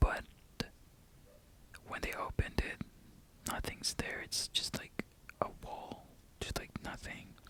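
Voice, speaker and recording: A man whispering at a fairly slow pace, with long, frequent pauses and noticeable background noise. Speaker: ASMR creator. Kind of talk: ASMR show and tell talk. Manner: soft-spoken.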